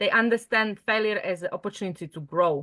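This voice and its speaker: A woman's fairly high, bright, sharp voice with a Slovak accent and ordinary pitch variation, dry and close with no echo, over a quiet background. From Slovakia. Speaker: mindset coach. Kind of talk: online group training session. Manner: hesitant, filler-heavy.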